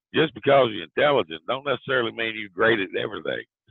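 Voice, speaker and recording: A man speaks with a Southern accent. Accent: southern lilt. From US South, southwest Virginia. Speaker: author. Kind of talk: interview. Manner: halting, with fillers.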